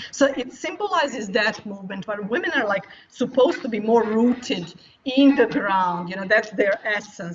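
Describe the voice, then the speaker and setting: A woman speaks with lively intonation. Noticeable background noise can be heard behind her. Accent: non-native. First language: not English. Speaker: futures studies professor. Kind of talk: interview.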